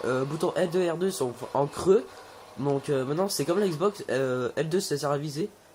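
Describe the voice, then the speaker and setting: This man's pitch is fairly high. It shows ordinary variation. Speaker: gaming youtuber. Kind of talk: gameplay commentary. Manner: fast; hesitant, many fillers.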